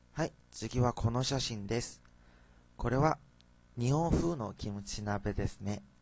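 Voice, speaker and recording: Pausing long and often, a man speaks at a fairly slow pace with a medium pitch and ordinary pitch variation. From South Korea. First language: Korean (speaking Japanese). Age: young. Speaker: university student. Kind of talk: student presentation.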